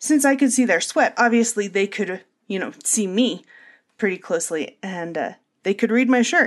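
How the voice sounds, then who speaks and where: A woman with a fairly high pitch, a normal speaking voice and a moderate pace. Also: lively intonation. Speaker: podcast host. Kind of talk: casual monologue.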